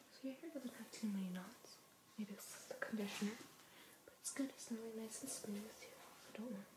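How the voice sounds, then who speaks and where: A woman with a fairly high voice and ordinary pitch variation speaks as noticeable background noise carries on behind her. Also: fairly quick pace. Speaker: ASMR artist doing a haircut role play. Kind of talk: ASMR role play. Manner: soft-spoken, whispering.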